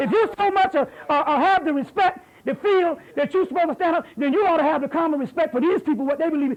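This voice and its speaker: A man at an extremely high pitch, very fast and animated, with ordinary pitch variation. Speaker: lecturer. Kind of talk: heated debate; lecture. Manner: loud.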